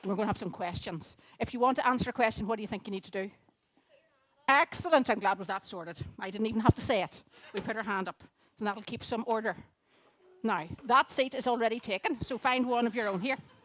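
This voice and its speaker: A woman with a Northern Irish accent talks at a very fast pace and a fairly high pitch, sounding animated. She still leaves long, frequent pauses. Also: ordinary pitch variation, big swings in loudness. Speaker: children's talk speaker at church. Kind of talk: children's talk in church service. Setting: church gathering with audience. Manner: loud.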